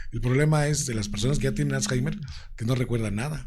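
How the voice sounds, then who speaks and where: Audible room echo follows a man who speaks at a very fast pace. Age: 60s. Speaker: radio announcer and presenter. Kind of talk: interview. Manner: animated.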